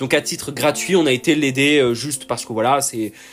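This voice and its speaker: A man's voice over music in the background. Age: 20s. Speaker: funeral worker. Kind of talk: monologue storytelling. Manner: halting.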